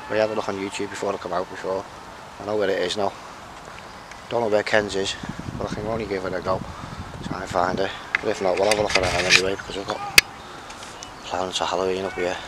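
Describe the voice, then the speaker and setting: A man talking at a very fast pace, dry sound with no echo, loud background noise behind him. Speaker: urban explorer vlogger. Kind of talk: casual vlog chat. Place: open country. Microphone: phone near.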